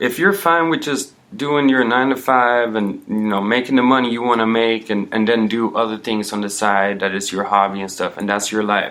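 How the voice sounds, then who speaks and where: A man speaks with a slight Swedish accent. His pitch sits in the medium range. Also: ordinary pitch variation, moderate pace, hardly any pauses. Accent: slight Swedish accent, working to lose it. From Sweden. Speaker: personal trainer. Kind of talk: casual interview chat.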